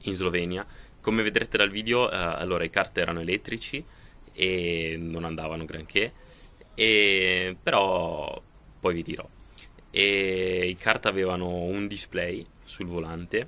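A man speaks in a very deep, low voice with a bright, sharp tone, fairly even intonation, and long, frequent pauses. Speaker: vlogger. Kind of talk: casual vlog chat. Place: home room. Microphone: phone near.

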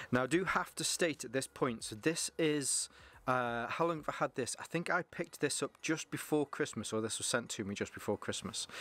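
A man at a fairly quick pace, bright and sharp in tone, with a dry sound and no echo. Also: ordinary pitch variation. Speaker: gear reviewer. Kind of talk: product review vlog. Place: garden.

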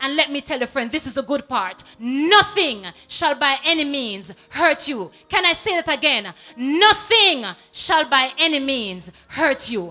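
A woman's raised, projected voice at a fairly slow pace, with very wide pitch swings. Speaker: TV presenter. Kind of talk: on-air greetings and prayer shout-outs. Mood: warm, devotional. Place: studio. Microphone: handheld.

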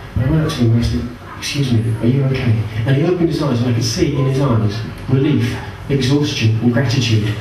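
A man's very fast speech carries audible room echo and light background noise. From southwest England. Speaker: stand-up comedian. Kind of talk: stand-up comedy, anecdotal storytelling with deadpan absurd punchlines. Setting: stage with audience. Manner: deadpan, wry; animated, storytelling with laughs and asides. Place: stage.

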